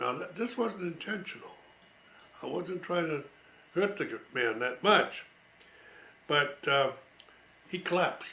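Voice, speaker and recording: With an American accent, a man speaks in a high pitch at a fairly slow pace with lively intonation and long, frequent pauses, while noticeable background noise plays behind him. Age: 80s+. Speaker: war veteran. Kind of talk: storytelling. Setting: at home. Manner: halting.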